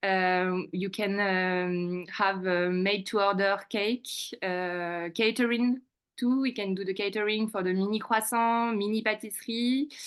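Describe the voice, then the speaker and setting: A woman speaks with a French accent. Her intonation is fairly even. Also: medium pitch for a woman, fairly slow pace, quiet background. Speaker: restaurant manager. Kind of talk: business presentation at a community meeting. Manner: halting, many fillers.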